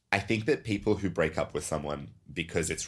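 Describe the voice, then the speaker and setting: A man talks at a fairly quick pace with vocal fry. His pitch varies in an ordinary way. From Serbia. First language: Serbian. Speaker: podcast host. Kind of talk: casual chat. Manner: animated.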